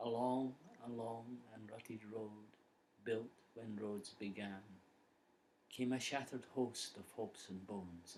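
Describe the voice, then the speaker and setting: Speaking with a Scottish accent, a man keeps a medium pitch at a fairly slow pace. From Scotland. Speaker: poet. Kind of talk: poetry reading.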